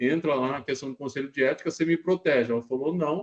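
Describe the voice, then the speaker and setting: This man's delivery is fairly quick, and his intonation stays fairly even. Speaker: university professor. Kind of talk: lecture. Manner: fast; casual, conversational.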